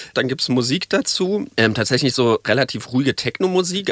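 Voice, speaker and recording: The man speaks at a fairly quick pace with very wide pitch swings. His sound is dry and close, with no echo. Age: 30s. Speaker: journalist. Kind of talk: interview, recounting experiences.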